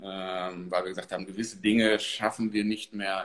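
A man with a fairly low voice takes his time, talking at a fairly slow rate. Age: 30s. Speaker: marketing manager. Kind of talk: interview.

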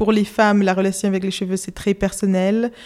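A woman's medium-pitched voice with a dark, mellow tone and a Spanish accent, on a very clean recording with a silent background. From Spain, Madrid. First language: Spanish (speaking French). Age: 20s. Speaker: illustrator. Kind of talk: casual interview. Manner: halting, many hesitations.

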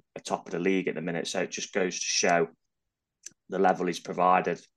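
With an East Midlands accent, a man speaks in a very deep, low pitch and monotone, flat intonation against a quiet background. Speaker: football fan pundit. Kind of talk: casual chat.

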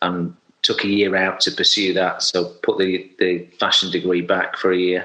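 Speaking at a fairly slow pace with a South Yorkshire accent, a man talks in a very deep, low pitch. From Sheffield, South Yorkshire. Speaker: hairdresser and salon owner. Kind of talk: casual interview chat. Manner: halting, many fillers.

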